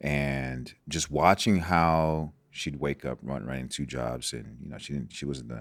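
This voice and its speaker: On a very clean recording with a silent background, the speech moves at a fairly slow pace with hardly any pauses and ordinary pitch variation. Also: man. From Nigeria, moved to US as a child. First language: Igbo. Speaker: sports doctor. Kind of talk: podcast interview. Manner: halting, with frequent fillers and repetitions.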